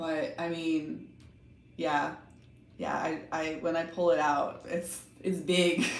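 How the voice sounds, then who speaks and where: In a Texan accent, the speech moves at a very slow pace with long, frequent pauses and ordinary pitch variation, and room echo is audible. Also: woman, fairly low pitch for a woman. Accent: Texan American English. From Texas, Austin. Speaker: tarot reader / livestream host. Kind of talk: casual livestream chat.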